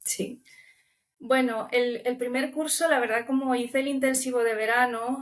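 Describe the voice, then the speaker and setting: Here a woman speaks with a Romanian accent. Her pitch is fairly high and her intonation fairly even. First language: Romanian (speaking Spanish). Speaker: language student. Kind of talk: interview.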